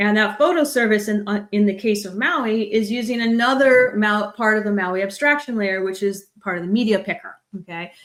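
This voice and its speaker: A woman talks at a fairly quick pace with hardly any pauses. Her pitch is fairly high, with ordinary variation. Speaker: tech product manager presenting a talk. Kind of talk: conference tech talk with live demo. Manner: fast; casual, many fillers.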